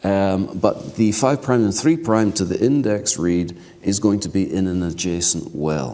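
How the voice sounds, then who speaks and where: In a room with audible echo, a man speaks fairly slowly at a fairly low pitch with lively intonation. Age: 60s. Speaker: keynote speaker, genomics researcher. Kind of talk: lecture.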